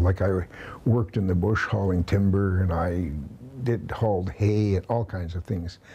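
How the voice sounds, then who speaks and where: Speaking at a moderate pace, a man with a fairly low pitch has a Canadian prairie accent. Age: 70s. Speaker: milk hauler, truck driver. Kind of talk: interview answer.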